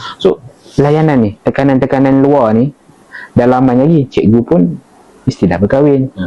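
A man at medium pitch with long, frequent pauses, over noticeable background noise. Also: ordinary pitch variation, moderate pace. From Malaysia, Perak. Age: 20s. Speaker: counselling officer. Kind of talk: casual interview.

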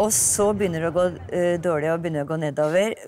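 A fairly low-pitched woman talking at a fairly quick pace, with faint music in the background. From Toten, Norway. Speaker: singer and musical performer. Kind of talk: interview answer. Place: car.

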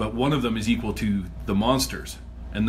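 A man talks over noticeable background noise. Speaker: podcast host, guest. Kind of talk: casual chat.

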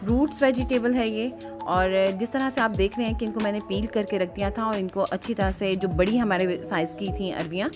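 Clear background music behind a woman's moderately paced speech. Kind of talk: cooking tutorial narration. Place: kitchen.

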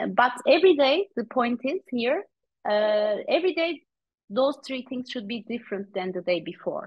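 A woman speaks at a moderate pace and high pitch with very wide pitch swings, in a dry sound with no echo over a quiet background. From Turkey. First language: Turkish. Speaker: author and coach; guest. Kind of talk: interview; interview answer. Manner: hesitant, frequent fillers. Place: home room. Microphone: video call.

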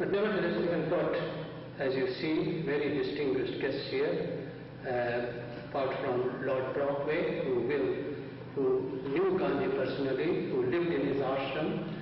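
In a room with strong echo and light background noise, a man speaks at a fairly slow pace with ordinary pitch variation and very even loudness. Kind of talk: formal announcements. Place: hall. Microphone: camera far.

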